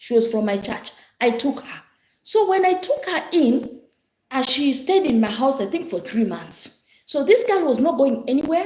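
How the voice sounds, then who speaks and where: Loud and high-pitched, a woman speaks with very wide swings in pitch. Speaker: pastor. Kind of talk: casual chat.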